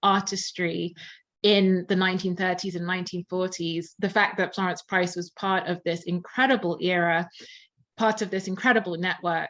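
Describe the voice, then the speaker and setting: A woman with a southern English accent. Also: quiet background. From England, Surrey near London. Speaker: musicologist and concert pianist. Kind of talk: interview.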